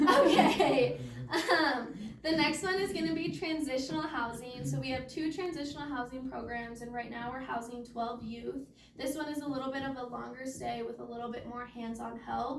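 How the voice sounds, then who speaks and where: A woman's high voice with ordinary pitch variation and audible room echo. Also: moderate pace. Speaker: case manager. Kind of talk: presentation.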